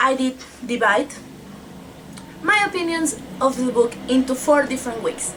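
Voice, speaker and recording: A woman at a high pitch with lively intonation and a moderate pace, long, frequent pauses and noticeable background noise. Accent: Spanish. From Mexico. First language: Spanish. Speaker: book vlogger. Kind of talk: casual book review vlog.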